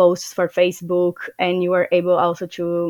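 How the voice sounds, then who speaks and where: A woman speaks at a fairly low pitch. The recording is very clean and silent behind her, dry and close with no echo. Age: 20s. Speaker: digital marketing student. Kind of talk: interview. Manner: hesitant, many fillers.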